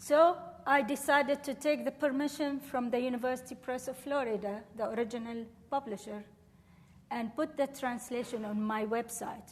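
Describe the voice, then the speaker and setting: A woman's high-pitched voice with an Arabic accent, a moderate pace, fairly even intonation and long, frequent pauses. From Syria, Damascus. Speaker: professor. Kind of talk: lecture Q&A.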